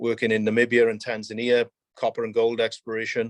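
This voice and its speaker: At a moderate pace, a man speaks in a medium pitch, his voice dry and close with no echo against a quiet background. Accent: Welsh. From South Wales. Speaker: mining company executive. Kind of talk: interview.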